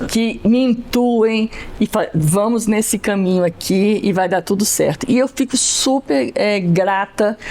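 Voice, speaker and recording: A woman's fairly high voice at a very slow pace, with hardly any pauses, very even loudness, ordinary pitch variation and noticeable background noise. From Brasília, Brazil. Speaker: Portuguese teacher. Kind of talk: interview.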